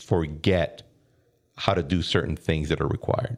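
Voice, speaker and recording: At a fairly quick pace, a man talks with a Spanish accent. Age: 30s. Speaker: podcast host. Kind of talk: interview.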